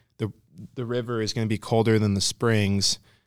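A man speaks at a moderate pace and a fairly low pitch, with fairly even intonation. The recording is very clean with a silent background, and the sound is dry and close with no echo. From out-of-state transplant to Colorado. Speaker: podcast host, fly fishing media. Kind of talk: casual interview chat.

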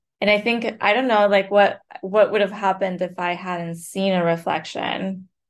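Speaking with a Spanish accent, a woman at medium pitch keeps her intonation fairly even and her pace moderate, with hardly any pauses. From Colombia (Bogota). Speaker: author and writing professor. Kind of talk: interview conversation.

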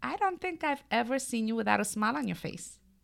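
A woman's enthusiastic tone in a very clean recording with a silent background. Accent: Brooklyn. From Brooklyn, New York. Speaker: podcast co-host. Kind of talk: casual chat.

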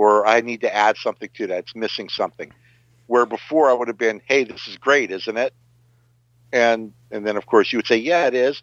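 With an unremarkable speaking voice, a man talks at a fairly quick pace and medium pitch, his intonation fairly even but his loudness swinging widely, in a dry, close sound with no echo against a quiet background. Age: 50s. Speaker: amateur musician. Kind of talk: casual chat; tutorial.

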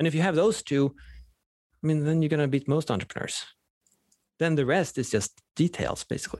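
Speaking in a Swedish accent, a man moves at a fairly quick pace with long, frequent pauses, ordinary pitch variation and very even loudness, in a dry, close sound with no echo. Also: fairly high pitch for a man. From Sweden. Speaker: professor of entrepreneurship. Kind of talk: casual interview chat.

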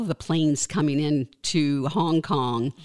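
A woman's very deep, low voice with ordinary pitch variation, in a dry, close sound with no echo. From New Orleans, Louisiana. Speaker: state politician. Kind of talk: interview. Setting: studio.

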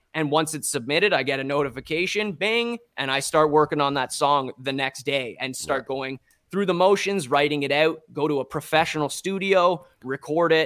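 On a very clean recording with a silent background, a man speaks at a moderate pace and a fairly high pitch, with ordinary pitch variation and hardly any pauses. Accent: Ontario. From Ontario, Canada (Strathroy). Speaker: musician and NFT artist. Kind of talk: interview.

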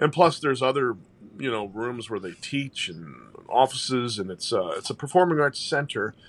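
Medium-pitched male voice in an American accent, moderate pace, vocal fry, lively intonation, big swings in loudness. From St. Louis, Missouri (Italian neighborhood). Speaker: jazz singer. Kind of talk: casual chat.

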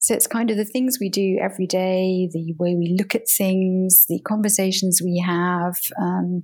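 On a very clean recording with a silent background, a woman with a British accent speaks fairly slowly in a somewhat breathy voice, at a medium pitch with fairly even intonation. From UK. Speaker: communications professional and coach. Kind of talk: interview.

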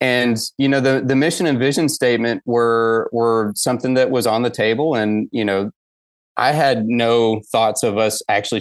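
A man with an American accent speaks in a plain, everyday voice at a medium pitch, with fairly even intonation at a moderate pace. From US South, Atlanta area, Georgia. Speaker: executive director of a mountain bike nonprofit. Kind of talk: casual interview.

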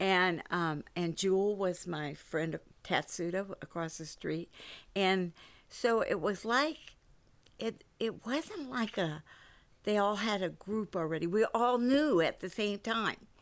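Here is an ordinary speaking voice with lively intonation, moving at a fairly slow pace. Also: woman, medium pitch for a woman. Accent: American. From US West Coast, San Francisco. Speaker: church member sharing life story. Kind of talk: casual interview.

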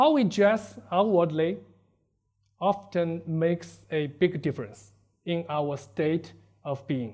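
A man with a Chinese accent speaks at a very slow pace and high pitch, with lively intonation and long, frequent pauses. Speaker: preacher. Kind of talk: sermon. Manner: halting.

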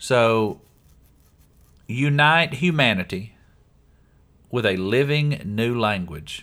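With long, frequent pauses, a man speaks in a bright, sharp tone whose pitch swings very widely. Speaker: podcast host. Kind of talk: casual chat. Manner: joking.

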